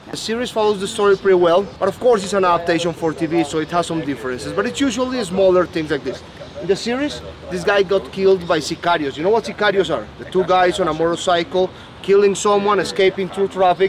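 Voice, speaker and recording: A man's high voice at a very fast pace, with ordinary pitch variation and noticeable background noise. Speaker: tour guide. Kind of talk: tour guide narration. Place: garden. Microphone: camera far.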